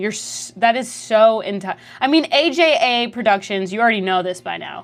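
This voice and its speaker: With music in the background, a woman talks in an animated tone with lively intonation. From Canada. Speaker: streamer. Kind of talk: casual livestream chat, reading chat messages. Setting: livestream.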